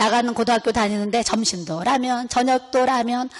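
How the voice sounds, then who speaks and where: A woman at a fairly high pitch, animated in tone and fairly quick in pace. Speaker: pastor's wife. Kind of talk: sermon. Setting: seminar audience. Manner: fast.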